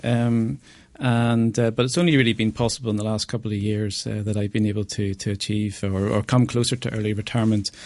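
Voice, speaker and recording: The background is quiet as a man speaks at a very fast pace. His pitch is fairly low and his intonation is fairly even. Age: 40s. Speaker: wealth management advisor. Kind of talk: radio interview. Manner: halting, many fillers.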